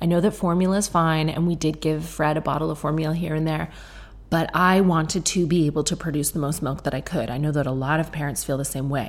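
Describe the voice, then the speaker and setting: Soft-spoken and very fast, a woman talks in a very deep, low voice with fairly even intonation. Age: 30s. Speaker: podcast host. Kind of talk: casual chat. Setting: home kitchen.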